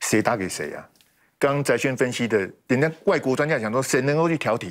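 Over a quiet background, a man talks at a fairly quick pace with lively intonation. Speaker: political commentator. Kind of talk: heated debate. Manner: animated. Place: studio. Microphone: lapel.

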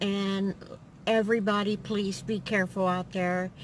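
A woman's voice, dry with no echo, over light background noise. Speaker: vlogger. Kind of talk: casual vlog chat. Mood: friendly, light laughter. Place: car.

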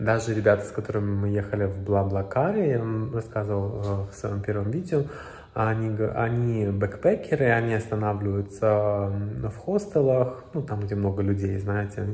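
A man talks at a moderate pace in a fairly low pitch, with ordinary pitch variation. His voice is somewhat breathy. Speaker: travel vlogger. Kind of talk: casual vlog chat. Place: home room. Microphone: phone near.

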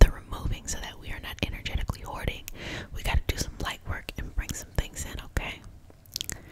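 A woman whispering in a calm tone at a moderate pace. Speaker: reiki master teacher and healer. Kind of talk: guided reiki healing session. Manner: soft-spoken, calm, encouraging. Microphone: studio mic.

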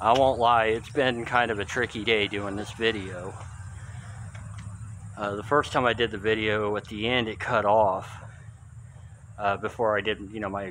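Amid light background noise, a man speaks at a moderate pace in a fairly low, monotone, flat voice with long, frequent pauses. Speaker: urban explorer vlogger. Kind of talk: casual vlog chat. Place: church. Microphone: phone near.

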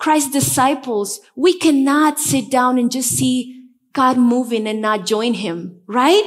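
A woman with a Spanish accent and high pitch at a very slow pace, over a quiet background. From Bolivia, La Paz. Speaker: pastor. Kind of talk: sermon. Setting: church. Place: church. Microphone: headset.

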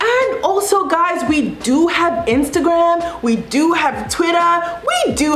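In a South African accent, the voice moves at a fairly slow pace with very wide pitch swings. Audible room echo and light background noise are present. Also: woman. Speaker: YouTuber. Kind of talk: casual vlog monologue. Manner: animated. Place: home room.

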